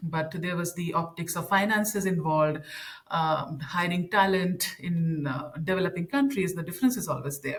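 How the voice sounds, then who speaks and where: Somewhat breathy delivery with ordinary pitch variation. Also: woman. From India. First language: an Indian language. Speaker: content strategist and communications trainer. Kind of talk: podcast interview. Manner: halting, many fillers and repetitions.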